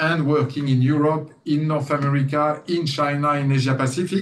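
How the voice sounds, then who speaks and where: In a French accent, a man with a fairly high pitch speaks at a moderate pace with monotone, flat intonation and audible room echo. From France. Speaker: company CEO. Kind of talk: guest lecture interview. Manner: hesitant, many fillers.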